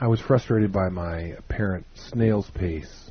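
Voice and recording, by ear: A passage is read aloud naturally, with pitch that varies in an ordinary way.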